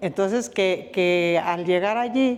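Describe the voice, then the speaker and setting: A woman with a fairly low pitch talks at a fairly slow pace, her pitch varying in an ordinary way. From Zacatecas, Mexico. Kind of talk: interview answer, family oral history. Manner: reflective, serious.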